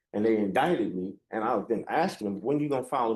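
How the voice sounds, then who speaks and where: Talking very fast, a man keeps a medium pitch and lively intonation. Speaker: defendant. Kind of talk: court hearing. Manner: loud.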